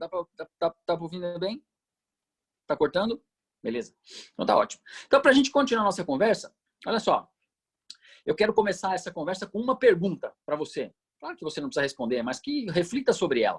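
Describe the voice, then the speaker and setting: Long pauses come often, though the speech between them is fairly quick. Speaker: intensive care doctor. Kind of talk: lecture. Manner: fast; animated.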